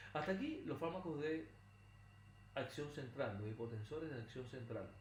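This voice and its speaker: A man with a fairly high voice and ordinary pitch variation speaks over noticeable background noise, with audible room echo. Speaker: pharmacology lecturer. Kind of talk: recorded lecture. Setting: recorded video lesson, not in a classroom. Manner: fast.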